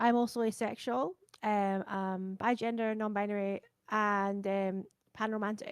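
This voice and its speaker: A woman with a Scottish accent speaks quietly at a fairly high pitch in a monotone, flat intonation. The sound is dry and close with no echo, on a very clean recording with a silent background. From Scotland. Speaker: variety streamer and composer. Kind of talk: panel discussion.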